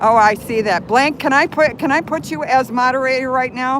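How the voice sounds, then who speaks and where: With an American accent, a woman speaks at a moderate pace and high pitch with ordinary pitch variation, against noticeable background noise. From Chicago, US Midwest. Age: 60s. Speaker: live streamer. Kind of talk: live stream commentary. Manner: flustered, agitated.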